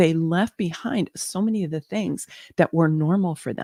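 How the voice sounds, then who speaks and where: In an American accent, a woman with a fairly low pitch and dark, mellow tone speaks at a moderate pace with ordinary pitch variation, the sound dry and close with no echo. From US Pacific Northwest, Seattle. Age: 60s. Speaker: spiritual teacher and human design reader. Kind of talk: live online workshop talk. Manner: halting, many fillers.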